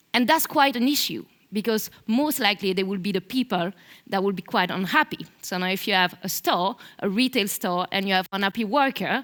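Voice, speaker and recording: A woman with a strong Belgian French accent, fairly quick speech, and a dry, close sound with no echo. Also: medium pitch for a woman, ordinary pitch variation. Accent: thick French-Belgian. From Belgium. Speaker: marketing manager. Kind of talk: conference talk.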